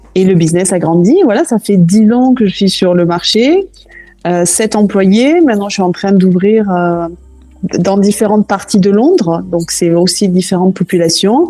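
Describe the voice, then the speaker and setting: A woman speaks fairly slowly with music in the background. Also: medium pitch for a woman, ordinary pitch variation, very even loudness. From southwest France, Toulouse. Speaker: cooking school founder. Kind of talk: podcast interview.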